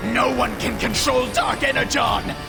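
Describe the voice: Over clear background music, a man uses a put-on character voice at an extremely high pitch, speaking at a moderate pace with fairly even intonation and vocal fry.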